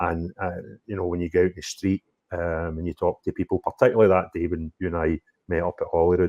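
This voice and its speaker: This man, with a Scottish accent, speaks very fast in a very deep, low voice with a dark, mellow tone and monotone, flat intonation. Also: dry, close sound with no echo, quiet background. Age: 50s. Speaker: political YouTuber. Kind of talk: interview. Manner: loud.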